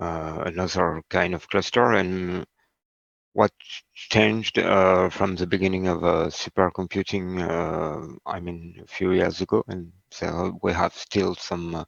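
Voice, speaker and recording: Against a quiet background, a man talks at a fairly slow pace in a very deep, low pitch with fairly even intonation, the sound dry and close with no echo. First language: not English. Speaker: HPC instructor. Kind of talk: lecture. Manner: halting, many fillers.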